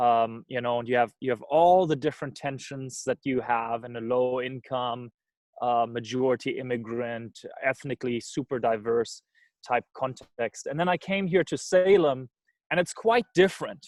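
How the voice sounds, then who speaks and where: The speaker is a man with a German accent and a medium pitch. His pitch variation is ordinary, and the sound is dry and close with no echo. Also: moderate pace. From Germany. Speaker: missions organization director. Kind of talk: talk on video call. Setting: video call. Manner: hesitant, many fillers.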